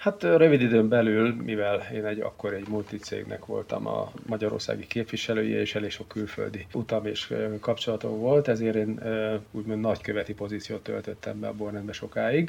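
Noticeable background noise sits behind this man as he talks at a moderate pace. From Hungary, Szeged (Great Plain). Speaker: wine society grand master. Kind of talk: interview.

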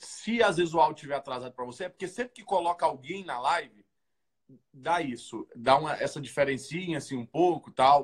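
The pace here is moderate. A man delivers it with lively intonation. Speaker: youth worship livestream host. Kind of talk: livestream prayer vigil chat. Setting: online livestream. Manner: animated.

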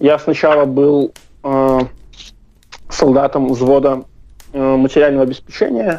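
A man speaks at a fairly high pitch. His delivery is flat and monotone. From Belarus. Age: 20s. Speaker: activist, former soldier. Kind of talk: interview. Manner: hesitant, many fillers.

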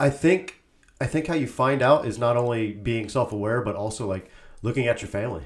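The man has an unremarkable speaking voice, medium in pitch with ordinary pitch variation. He talks fairly quickly. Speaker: podcast co-host. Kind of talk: casual chat. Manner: laughs often.

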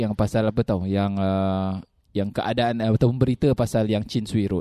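A man's dark, mellow voice comes through with a dry, close sound and no echo. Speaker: religious teacher and podcast co-host. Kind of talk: casual chat.

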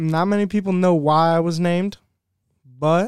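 A man with an American accent and ordinary pitch variation, in a dry, close sound with no echo on a very clean recording with a silent background. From Ohio. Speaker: college student and lacrosse player. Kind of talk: casual chat.

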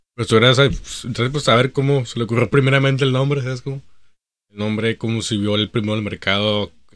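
Rattling along at a very fast pace, a man with a medium pitch and fairly even intonation is heard in a very clean recording with a silent background. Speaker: podcast co-host. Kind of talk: casual chat.

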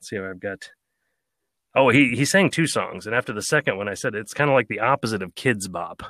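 With an American accent and a bright, sharp tone, a man talks at a fairly quick pace with ordinary pitch variation on a very clean recording with a silent background and a dry, close sound with no echo. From United States. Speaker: audiobook narrator. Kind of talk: casual chat.

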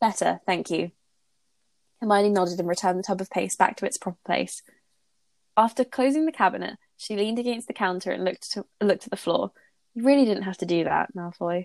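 In a British accent, a woman talks at a fairly quick pace with ordinary pitch variation and long, frequent pauses, the sound dry and close with no echo. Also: medium pitch for a woman. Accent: British, Received Pronunciation-like. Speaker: podcast host reading fanfiction aloud. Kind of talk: casual chat with fic reading aloud. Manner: animated, laughs often.

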